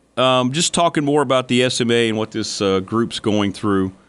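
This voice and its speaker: A man with a normal speaking voice, medium in pitch and ordinary in pitch variation, keeps to a moderate pace. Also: very even loudness. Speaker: radio sports talk host. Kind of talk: radio sports talk show. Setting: radio studio.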